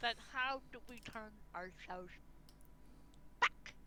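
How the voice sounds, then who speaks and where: A woman speaks in a put-on character voice at a fairly high pitch. Her pace is fairly slow, over loud background noise. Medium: actual play. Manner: slow, drawn-out.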